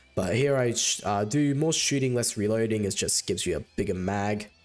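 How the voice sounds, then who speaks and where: Against music in the background, a man speaks at a fairly low pitch with lively intonation. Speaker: gaming youtuber. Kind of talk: gameplay commentary voiceover. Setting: voiceover recorded over gameplay. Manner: fast; casual with fillers.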